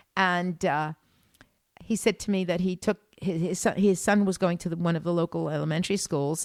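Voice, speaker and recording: A woman with an ordinary speaking voice and an American accent talks at a fairly quick pace and a fairly low pitch with fairly even intonation. The sound is dry and close with no echo, on a very clean recording with a silent background. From United States. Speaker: tour guide and art historian. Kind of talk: casual chat.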